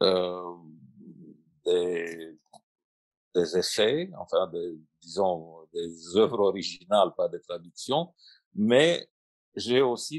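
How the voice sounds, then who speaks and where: A very slow pace in a Russian accent. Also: man. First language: Russian (speaking French). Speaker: translator and writer. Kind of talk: panel discussion. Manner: halting.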